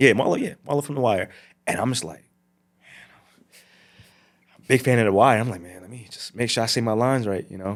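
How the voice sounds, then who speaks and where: Speaking very fast with an American accent, a man at a medium pitch uses ordinary pitch variation, big swings in loudness and long, frequent pauses on a very clean recording with a silent background. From New Jersey. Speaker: actor and model. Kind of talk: casual interview chat. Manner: animated, many fillers and repetitions.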